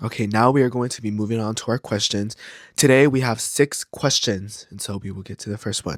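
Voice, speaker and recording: In a very clean recording with a silent background and a dry, close sound with no echo, a man uses an unremarkable speaking voice at medium pitch, with fairly even intonation, a fairly quick pace and big swings in loudness. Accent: American. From California. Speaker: podcast host. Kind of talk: casual monologue.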